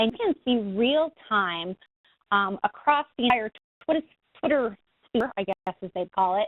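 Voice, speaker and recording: With lively intonation, a woman speaks and leaves long, frequent pauses. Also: fairly high pitch for a woman. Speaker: patient advocate. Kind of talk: webinar talk. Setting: webinar. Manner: fast.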